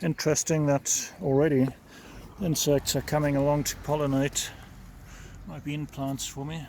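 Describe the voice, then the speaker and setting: A man speaks loudly in a monotone, flat intonation. He leaves long, frequent pauses. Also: fairly high pitch for a man, moderate pace. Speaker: home gardening vlogger. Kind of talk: casual vlog narration. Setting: outdoors in garden. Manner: speaking up loudly over traffic; serious-sounding.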